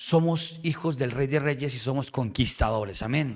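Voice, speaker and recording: A man is speaking. His intonation is lively. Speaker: pastor. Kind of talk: sermon. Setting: church.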